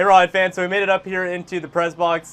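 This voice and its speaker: A man with a high pitch talks at a very fast pace. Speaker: interviewer. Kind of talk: interview question.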